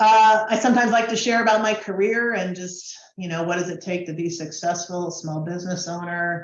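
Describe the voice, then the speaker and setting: A woman's fairly quick delivery in a normal speaking voice, with an American accent and ordinary pitch variation. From Washington DC. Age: 60s. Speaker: business presenter, marketing consultant. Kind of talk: training webinar presentation. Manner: conversational, with fillers.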